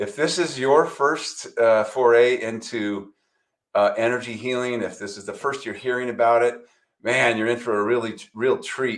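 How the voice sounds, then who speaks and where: A plain, everyday voice at a moderate pace, with big swings in loudness. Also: man, medium pitch for a man, ordinary pitch variation. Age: 60s. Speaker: chiropractor and energy healing teacher. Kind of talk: presentation.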